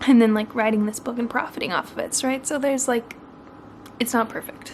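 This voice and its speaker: Against noticeable background noise, a woman with an American accent talks at a fairly quick pace in a high, monotone, flat voice. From Oregon, US. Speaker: book vlogger. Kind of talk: vlog to camera. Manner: quiet, hushed; casual, filler-heavy.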